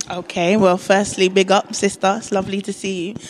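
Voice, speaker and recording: Here is a woman with an unremarkable speaking voice. She talks at a fairly quick pace in a medium pitch. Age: young. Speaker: poet and singer. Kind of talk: casual interview. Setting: backstage at a theatre.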